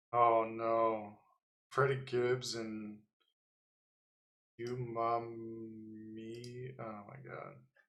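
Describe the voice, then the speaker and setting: In a room with audible echo, a man at a medium pitch speaks at a very slow pace with monotone, flat intonation, big swings in loudness, and long, frequent pauses. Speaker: livestreamer, designer. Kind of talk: casual livestream talk. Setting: livestream with music playing.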